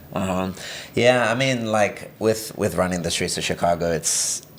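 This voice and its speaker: With an English accent, this man talks at a moderate pace. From England (born in Brazil). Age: 20s. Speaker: runner, graduate student. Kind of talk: casual interview chat.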